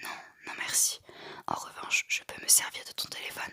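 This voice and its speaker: A woman whispers at a moderate pace in a dry, close sound with no echo. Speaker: ASMR artist. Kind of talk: whispered audiobook-style reading of a novel. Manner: whispered, soft-spoken.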